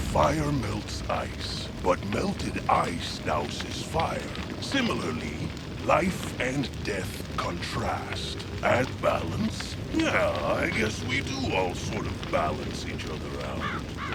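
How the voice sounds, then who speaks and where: With loud background noise behind him, a man speaks very slowly in a put-on character voice. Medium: game stream. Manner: casual, jokey.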